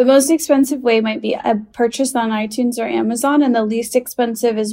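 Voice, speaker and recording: Somewhat breathy and dark, mellow in tone, a woman with an American accent speaks at a fairly quick pace in a fairly high pitch with fairly even intonation. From Chicago, US Midwest. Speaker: stand-up comedian. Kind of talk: casual chat.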